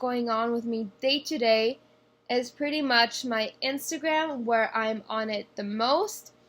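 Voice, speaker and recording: In a very clean recording with a silent background, a woman speaks at a high pitch and a very slow pace, with ordinary pitch variation. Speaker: vlogger. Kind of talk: casual vlog tutorial. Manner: halting.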